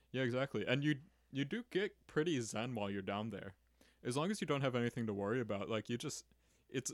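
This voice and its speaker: On a very clean recording with a silent background, a man with an unremarkable speaking voice talks at a fairly quick pace and medium pitch, with ordinary pitch variation. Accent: American. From Chicago, Illinois. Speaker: amateur scuba diver and mixed martial artist. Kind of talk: casual chat.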